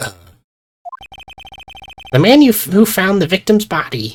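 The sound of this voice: A put-on character voice at a middle pitch moves along at a moderate pace. Music plays in the background.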